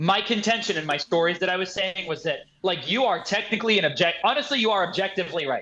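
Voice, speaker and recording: A man talks at a very fast pace in a raised, projected voice. His tone is animated and his pitch is high. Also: ordinary pitch variation. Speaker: personal trainer and kettlebell coach. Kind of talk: casual podcast conversation. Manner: loud.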